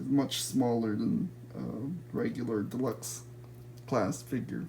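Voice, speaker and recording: Speaking at a very slow pace, a man is heard. Light background noise sits underneath. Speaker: toy reviewer. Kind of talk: product review. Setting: at home at night. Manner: hesitant, many fillers. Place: home room. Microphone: phone near.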